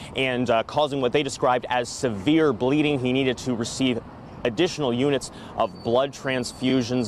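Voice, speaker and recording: The voice keeps a moderate pace and fairly even intonation over noticeable background noise. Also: man. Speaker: TV news reporter. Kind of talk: live news report.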